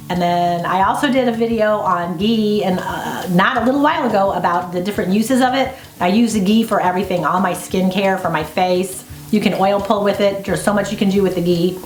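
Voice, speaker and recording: A woman talks at a fairly quick pace with ordinary pitch variation. Music plays in the background, and the room echo is audible. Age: 50s. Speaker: homesteader and video host. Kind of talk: interview answers. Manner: casual, conversational.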